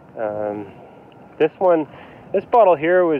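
The sound is dry with no echo, and light background noise sits underneath. A man speaks at a fairly slow pace. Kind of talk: casual vlog chat. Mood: excited, relaxed. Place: beach. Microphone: phone near.

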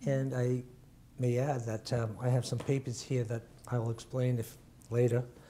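A man with a New England accent speaks at a medium pitch in a dark, mellow, somewhat breathy tone, his intonation monotone and flat. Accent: New England American. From Worcester, Massachusetts. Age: 70s. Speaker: retired music educator. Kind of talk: oral history interview. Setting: recorded interview with camera.

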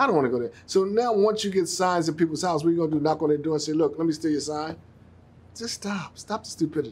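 Words come very fast from this man. Lively intonation colors his speech. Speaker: TV talk show host. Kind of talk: show opening monologue. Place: studio.

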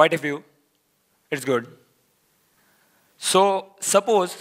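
Speaking very slowly, a man uses lively intonation in a high-pitched voice. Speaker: software engineer giving a conference talk. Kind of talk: conference talk. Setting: stage with audience.

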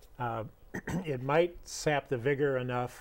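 This man talks with fairly even intonation. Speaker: guest. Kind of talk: interview answer. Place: studio. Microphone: lapel.

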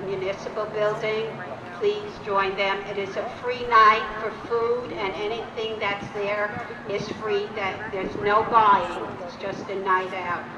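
A woman speaks at a fairly slow pace with monotone, flat intonation. Noticeable background noise can be heard. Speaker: event organizer host. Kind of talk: public announcements. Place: open country. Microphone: handheld.

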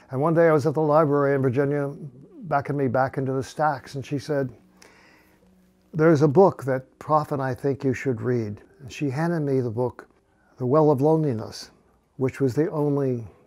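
With music in the background, a man speaks at a moderate pace. His intonation is fairly even, broken by long, frequent pauses. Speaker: interviewee. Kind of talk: interview answer. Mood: reflective, calm. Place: home room. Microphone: lapel.

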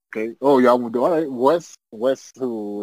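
In an American accent, a man with an unremarkable speaking voice talks at a moderate pace in a medium pitch, with fairly even intonation and a dry, close sound with no echo. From US South. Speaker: podcast co-host. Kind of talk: casual chat.

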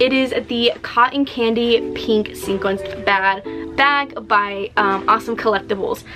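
Music is clearly audible behind the voice. The speaker is a woman. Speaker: collector vlogger. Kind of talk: casual vlog chat. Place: home room.

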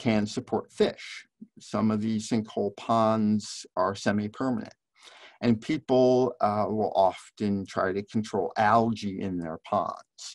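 The delivery is very slow with fairly even intonation, in a dry sound with no echo and a quiet background. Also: man. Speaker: biology professor presenter. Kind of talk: lecture. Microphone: webcam.

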